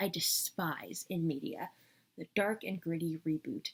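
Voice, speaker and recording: A woman speaks in a somewhat breathy voice. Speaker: media reviewer. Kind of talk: casual talk to camera. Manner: fast.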